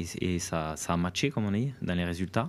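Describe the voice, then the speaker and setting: A southwestern French accent at a fairly quick pace, on a very clean recording with a silent background. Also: man. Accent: southwest French. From southwest France, Aveyron. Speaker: national enduro team coach. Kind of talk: interview. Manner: halting, many repetitions and fillers.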